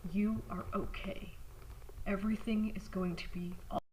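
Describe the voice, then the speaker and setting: A woman speaks fairly slowly at medium pitch. Her intonation is monotone and flat, with noticeable background noise behind her. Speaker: writer and voice actor. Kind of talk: horror short story narration. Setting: home recording, uneven mic distance.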